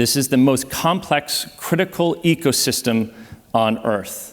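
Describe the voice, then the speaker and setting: This voice has an American accent. Its pitch varies in an ordinary way. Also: man. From United States. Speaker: ocean exploration advocate, panel speaker. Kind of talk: conference presentation. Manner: animated.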